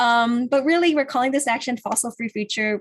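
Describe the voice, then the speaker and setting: Here is a woman with an American accent and ordinary pitch variation. Her voice is somewhat breathy. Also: quiet background. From California. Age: 20s. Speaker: climate activist organizer. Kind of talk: virtual presentation.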